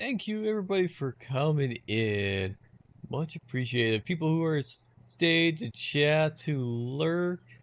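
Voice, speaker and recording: A man talks at a very slow pace in a fairly high pitch, his voice making very wide pitch swings. The background is quiet. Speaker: gaming streamer. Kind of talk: casual chat. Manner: quiet, mumbling.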